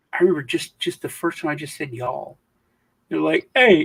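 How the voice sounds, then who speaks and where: A man with an American accent in a dry, close sound with no echo. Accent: Southern US, comes out around family. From US South. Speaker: crypto video host. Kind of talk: casual chat. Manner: halting, with restarts.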